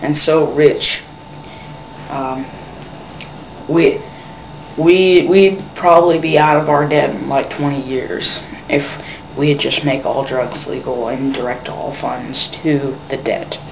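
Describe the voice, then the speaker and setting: Speaking very slowly with long, frequent pauses, a woman with an American accent has a very deep, low pitch and ordinary pitch variation, amid noticeable background noise and audible room echo. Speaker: vlogger. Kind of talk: opinion monologue. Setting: at home, grandparents nearby. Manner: speaking quietly; usually slow, trying to speed up.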